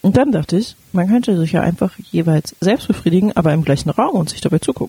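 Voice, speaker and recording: A woman talks in a plain, everyday voice at a fairly low pitch and fairly quick pace, with lively intonation. The sound is dry and close, with no echo. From Berlin. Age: 30s. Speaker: sex educator and podcast co-host. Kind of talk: casual chat.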